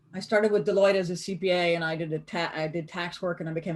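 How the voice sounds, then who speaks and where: With noticeable background noise behind her, a woman with a fairly low voice speaks in an American accent. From US South (Greenville, South Carolina). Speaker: accountant and business speaker teaching a class. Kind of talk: online lecture. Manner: animated.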